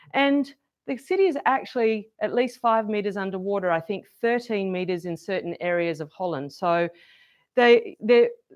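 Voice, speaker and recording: Speaking in an Australian accent, a woman uses medium pitch, a moderate pace and lively intonation. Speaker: event host. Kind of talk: event introduction to live audience.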